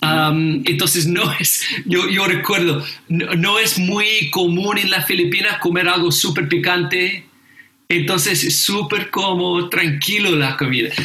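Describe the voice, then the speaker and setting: A man with an English accent talks at a very slow pace, high in pitch with ordinary variation and very even loudness. Audible room echo and noticeable background noise surround him. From England, raised in Indonesia and the Philippines. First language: English (speaking Spanish). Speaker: pastor and seminary teacher. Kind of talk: casual chat about scripture. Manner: halting, many fillers and repetitions.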